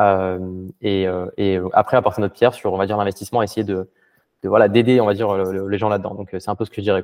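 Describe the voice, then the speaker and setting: Talking at a very fast pace, a man uses a monotone, flat intonation at a fairly low pitch. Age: 20s. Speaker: quantitative crypto trader. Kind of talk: casual interview.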